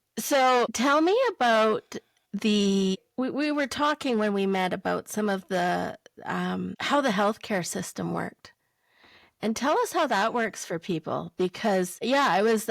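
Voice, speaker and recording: A woman speaks in a plain, everyday voice, fairly high in pitch with ordinary pitch variation, at a fairly slow pace. The sound is dry and close with no echo, a very clean recording with a silent background. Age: 50s. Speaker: podcast host. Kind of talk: podcast interview.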